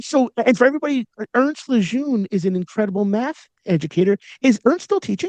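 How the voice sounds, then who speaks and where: In a New York accent, a man speaks at an extremely high pitch with an animated tone and lively intonation. His fairly quick delivery has a dry, close sound with no echo. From Long Island, New York. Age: 40s. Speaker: podcast host, educator. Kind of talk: interview conversation.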